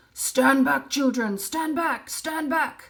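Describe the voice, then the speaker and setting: In a put-on character voice that sounds female, someone shouts and growls at a high pitch and a very slow pace. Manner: shouting a warning.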